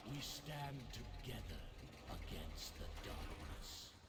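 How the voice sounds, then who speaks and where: Over loud background noise, a man uses a put-on character voice at a fairly high pitch and a very slow pace. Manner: solemn, commanding.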